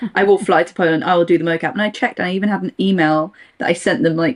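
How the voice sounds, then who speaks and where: With a British accent, a woman speaks with ordinary pitch variation. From England. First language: Russian. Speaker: voice actor. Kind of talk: casual chat.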